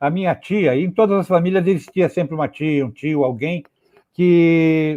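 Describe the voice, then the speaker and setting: This man has a high voice with a dark, mellow tone. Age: 70s. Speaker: poet. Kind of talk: interview. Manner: halting, many repetitions.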